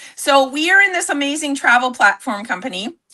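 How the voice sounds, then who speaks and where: A woman talks at a fairly quick pace in an animated tone. Her voice is bright and sharp, with very wide pitch swings. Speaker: network marketing entrepreneur. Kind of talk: livestream sales pitch. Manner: loud.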